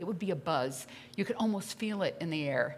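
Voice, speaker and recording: Over light background noise, a woman with an unremarkable speaking voice talks at a fairly quick pace, her pitch fairly low and her intonation lively. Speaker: pastor. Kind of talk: sermon. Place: church. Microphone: podium.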